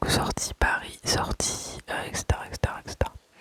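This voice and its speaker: A woman whispers at a fairly slow pace against noticeable background noise, the sound dry and close with no echo. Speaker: ASMR creator. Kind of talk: casual talk to camera, budgeting story time. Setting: home recording with dishwasher noise in background. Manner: soft-spoken, calm, relaxing, not whispered.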